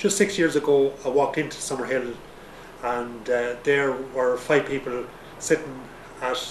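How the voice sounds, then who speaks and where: A man speaks with an Irish accent at a moderate pace and ordinary pitch variation. Noticeable background noise runs behind him. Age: 60s. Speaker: retiree. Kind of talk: testimony. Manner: halting.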